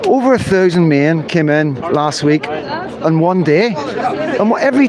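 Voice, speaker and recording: Someone with a Northern Irish accent speaks with very wide pitch swings. Audible room echo and crowd noise in the background fill the recording. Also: man. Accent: Northern Irish (Belfast). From Northern Ireland, Belfast. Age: 50s. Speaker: livestreamer, citizen journalist. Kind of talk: live street stream commentary. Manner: animated.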